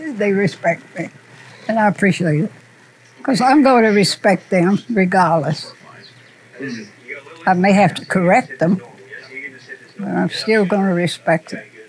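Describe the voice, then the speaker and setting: Over noticeable background noise, a woman of medium pitch speaks at a fairly slow pace with lively intonation and long, frequent pauses. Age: 80s+. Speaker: barber shop owner. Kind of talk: documentary interview answer.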